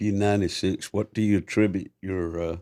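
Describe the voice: A man talks at a fairly quick pace, his pitch low. His tone is dark and mellow, with fairly even intonation.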